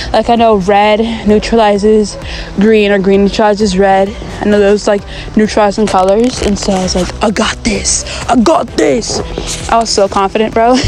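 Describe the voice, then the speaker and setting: A woman speaks with very even loudness. Music plays in the background. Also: medium pitch for a woman. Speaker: gaming vlogger. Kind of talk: casual gameplay commentary. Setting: outdoors. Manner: fast; animated.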